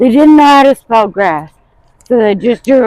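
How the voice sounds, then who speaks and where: Her intonation is lively, and the woman's voice sounds dry and close with no echo. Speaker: vlogger with chronic illness. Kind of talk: casual vlog. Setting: outdoors. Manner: quiet.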